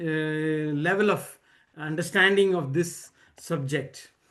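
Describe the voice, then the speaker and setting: A man speaks with an Indian accent. His intonation is lively. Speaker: book discussion leader. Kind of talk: presentation at online reading circle. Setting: video call. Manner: halting, many fillers and repetitions.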